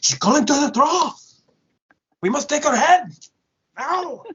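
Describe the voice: In a put-on character voice, high-pitched and in a German accent, the speaker moves at a moderate pace.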